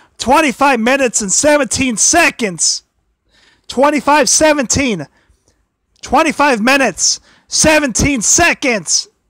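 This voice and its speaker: Someone is shouting loudly, broken up by long, frequent pauses. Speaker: wrestling commentary livestreamer. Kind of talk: casual livestream talk. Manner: loud, shouting; halting.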